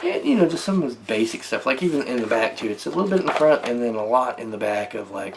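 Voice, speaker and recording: A man speaks with a slight Southern US accent. Noticeable background noise is present. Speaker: tabletop gaming YouTuber. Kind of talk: casual product review. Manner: hesitant, many fillers.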